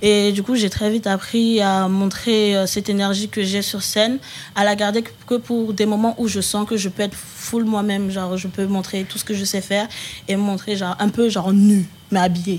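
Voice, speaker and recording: Over noticeable background noise, a woman talks at a moderate pace in a medium pitch with monotone, flat intonation. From Paris region (Val-de-Marne). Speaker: rapper. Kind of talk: casual interview chat.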